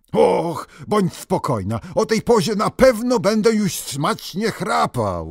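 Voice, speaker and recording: A man uses a gruff, put-on character voice with a high pitch. He goes at a fairly slow pace with hardly any pauses. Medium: read story. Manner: gruff, reassuring.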